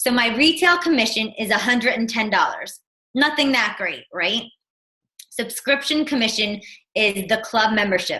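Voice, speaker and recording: Speaking with a New Jersey accent, a woman uses a fairly high pitch, ordinary pitch variation, and a moderate pace. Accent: New Jersey American. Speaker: fitness business coach. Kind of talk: online team presentation.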